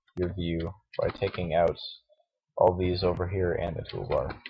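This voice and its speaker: A man with a very deep, low pitch and a somewhat breathy voice. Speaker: Blender tutorial maker. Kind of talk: software tutorial. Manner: hesitant, filler-heavy. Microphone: bad audio quality.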